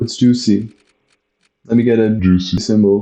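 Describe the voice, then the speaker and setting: Speaking at a fairly slow pace, this man has a non-native accent. His fairly low pitch carries a dark, mellow tone. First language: not English. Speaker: gaming youtuber. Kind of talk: let's play commentary. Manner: halting.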